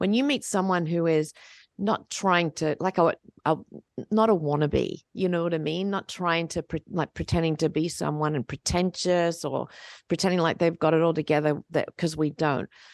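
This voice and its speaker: A plain, everyday voice speaks at a moderate pace, with a quiet background and a dry, close sound that has no echo. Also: woman, fairly low pitch for a woman. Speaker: podcast host, church pastor. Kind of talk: church podcast chat, devotional conversation. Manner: warm, upbeat, conversational.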